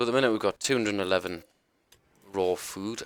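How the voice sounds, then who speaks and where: Very fast and with ordinary pitch variation, a man speaks in a British accent, captured in a very clean, dry, close recording with a silent background and no echo. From UK. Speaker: gaming streamer. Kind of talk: gameplay tutorial commentary. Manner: casual, hesitant with many ums.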